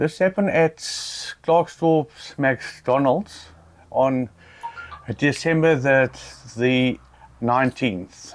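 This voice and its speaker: Against noticeable background noise, a man speaks at a very slow pace and fairly high pitch, with ordinary pitch variation and very even loudness. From South Africa. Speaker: interviewee. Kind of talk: interview. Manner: halting.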